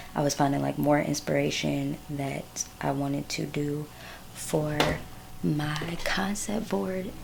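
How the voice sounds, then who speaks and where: Noticeable background noise sits behind a woman who talks at a very slow pace. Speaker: fashion designer vlogger. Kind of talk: casual vlog.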